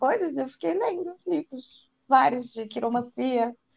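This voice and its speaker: A woman's high voice at a moderate pace. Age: 30s. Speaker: tarot reader. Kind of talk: casual chat.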